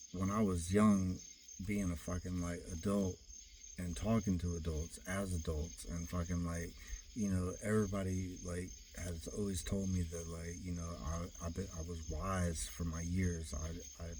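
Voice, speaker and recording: A man speaks at a moderate pace in a very deep, low pitch, his tone dark, mellow and somewhat breathy. His intonation stays fairly even, and audible room echo surrounds him. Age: 40s. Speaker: vlogger. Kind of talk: personal monologue. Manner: rambling with many fillers.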